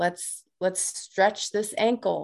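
An ordinary speaking voice from a woman with an American accent, medium in pitch, with fairly even intonation and a quiet background. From US Midwest, south side of Chicago. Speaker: life coach, author, navy veteran. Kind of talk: interview.

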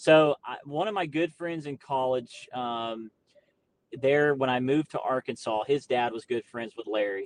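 A man with an American accent talks at a moderate pace and medium pitch, in an ordinary speaking voice with ordinary pitch variation. The sound is dry and close, with no echo. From Florida. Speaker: professional bass angler. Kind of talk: interview.

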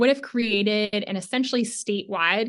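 A woman talks in a normal speaking voice at a medium pitch and a moderate pace. Her intonation is fairly even, on a very clean recording with a silent background. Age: 20s. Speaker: campaign organizer. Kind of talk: interview.

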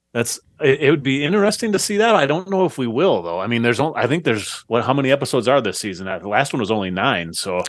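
A medium-pitched male voice with vocal fry, racing at a very fast pace through very wide pitch swings with hardly any pauses. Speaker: podcast guest. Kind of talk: casual chat.

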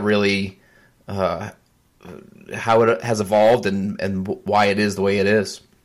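A man's fairly low voice at a fairly slow pace. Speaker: podcast host. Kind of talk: casual interview. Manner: enthusiastic, animated.

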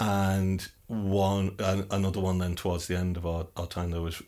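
In a northern English accent, a man speaks with a very deep, low pitch and monotone, flat intonation. He keeps a moderate pace with hardly any pauses on a very clean recording with a silent background. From northern England. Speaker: podcast host. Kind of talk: interview. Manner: halting, with frequent repetitions.

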